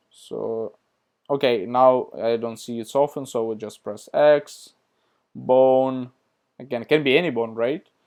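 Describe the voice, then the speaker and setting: Recorded very cleanly against a silent background, a man with a non-native accent speaks at a medium pitch and a fairly slow pace, with fairly even intonation and big swings in loudness. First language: not English. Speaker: tutorial youtuber. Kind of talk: screen-share tutorial. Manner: casual, hesitant with fillers.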